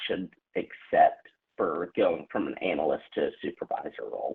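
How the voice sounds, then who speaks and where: With a Southern accent, a man speaks at a fairly slow pace. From New Orleans. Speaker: caller. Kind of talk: phone call with advice host.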